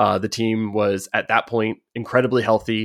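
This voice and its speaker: In a normal speaking voice, a man with an American accent speaks at medium pitch and a moderate pace. The sound is dry and close, with no echo. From United States. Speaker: football stats podcast host. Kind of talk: casual interview chat.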